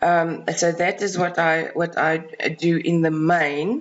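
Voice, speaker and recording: A voice with a South African accent over noticeable background noise. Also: woman. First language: Afrikaans. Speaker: freelance researcher and writer. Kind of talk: self-introduction video. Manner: hesitant, many fillers.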